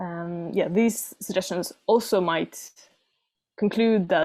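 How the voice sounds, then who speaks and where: Speaking at a fairly slow pace in a plain, everyday voice, a woman keeps her medium pitch in fairly even intonation. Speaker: student researcher presenting thesis. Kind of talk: conference presentation.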